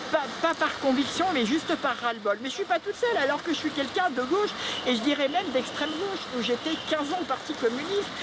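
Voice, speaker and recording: Noticeable background noise sits under fairly quick speech with lively intonation. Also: woman, high pitch for a woman. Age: 60s. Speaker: retired shoe industry worker, small shopkeeper. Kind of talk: street interview. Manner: animated.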